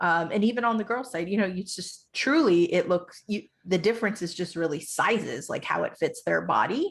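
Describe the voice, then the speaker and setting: Speaking at a moderate pace with lively intonation, a woman shows vocal fry. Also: medium pitch for a woman, hardly any pauses, quiet background. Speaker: show co-host. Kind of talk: casual chat.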